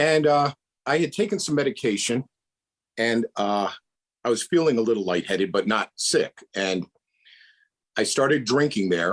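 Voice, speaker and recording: In an American accent, a man at medium pitch talks at a moderate pace with very wide pitch swings and long, frequent pauses, in a dry, close sound with no echo. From Rhode Island, US Northeast. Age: 60s. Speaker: retired police detective. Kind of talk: testimony.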